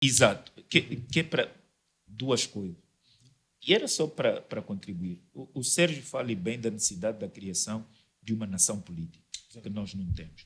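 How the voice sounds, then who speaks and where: This man talks at a moderate speed. The intonation he uses is lively. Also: big swings in loudness. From Angola. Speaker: debate panelist; panelist. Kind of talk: debate. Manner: halting. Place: studio. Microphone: studio mic.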